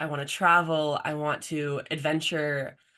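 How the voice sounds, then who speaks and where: A woman with an American accent speaks loudly and at a fairly slow pace against a quiet background. Her very deep, low voice has a bright, sharp tone and monotone, flat intonation. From US Midwest, Michigan. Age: 20s. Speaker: college volleyball player. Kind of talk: casual interview chat.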